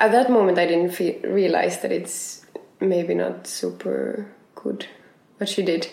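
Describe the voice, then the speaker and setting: Through audible room echo, a woman with a Finnish accent speaks at a fairly slow pace. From Finland. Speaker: circus artist. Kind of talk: casual chat. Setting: at home.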